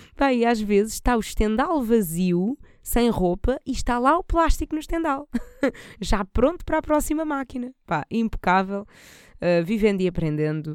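Very wide pitch swings from a woman with a fairly high pitch, in a very clean recording with a silent background. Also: moderate pace. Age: 20s. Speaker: podcast host. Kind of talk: casual solo monologue. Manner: animated, laughing often.

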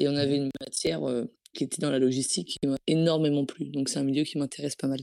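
A woman's very deep, low-pitched voice with a dark, mellow tone and fairly even intonation, at a very fast pace, in a dry, close sound with no echo. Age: 20s. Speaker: student. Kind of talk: mock job interview coaching.

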